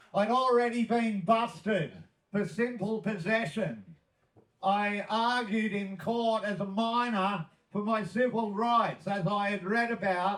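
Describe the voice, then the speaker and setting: A man speaks with an Australian accent at a fairly slow pace. His pitch sits high. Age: 60s. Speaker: cannabis activist. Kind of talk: speech.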